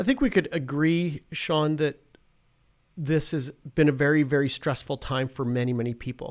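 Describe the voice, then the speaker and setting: This man's voice sits fairly high in pitch. He talks at a moderate pace with fairly even intonation. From Saskatchewan, Canada. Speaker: professor. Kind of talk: casual chat. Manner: halting.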